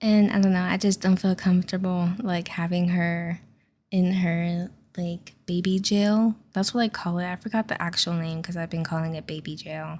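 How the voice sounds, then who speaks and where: A woman of medium pitch talks at a moderate pace in a relaxed tone, somewhat breathy, with monotone, flat intonation. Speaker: gaming youtuber. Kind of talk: casual chat over gameplay.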